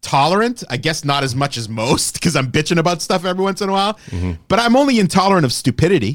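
A high-pitched man's voice, animated in tone, with very wide pitch swings, a very fast pace and hardly any pauses. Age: 40s. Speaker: podcast host. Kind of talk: casual rant. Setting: studio. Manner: animated, profane.

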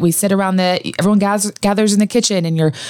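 A woman's normal speaking voice with an American accent, medium pitch and ordinary pitch variation, in a very clean recording with a silent background. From Idaho, US. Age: 40s. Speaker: former newscaster, surgery patient. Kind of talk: interview.

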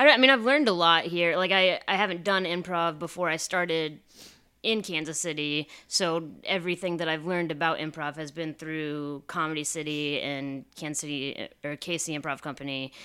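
Speaking with a Midwestern US accent, a woman has a bright, sharp tone and a fairly low pitch, with ordinary pitch variation. She talks at a moderate pace on a very clean recording with a silent background. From Iowa. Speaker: improv comedian. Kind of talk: casual chat.

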